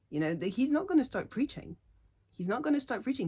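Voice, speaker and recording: A somewhat breathy woman with very wide pitch swings. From Poland. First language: not English. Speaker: linguistics doctoral student. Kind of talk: unscripted opinion rant to camera.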